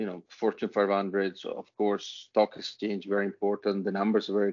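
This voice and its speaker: A man speaks with an Italian accent at a fairly low pitch. His intonation is monotone and flat, and his pace is moderate. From Italy. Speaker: author and business leader. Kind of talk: interview.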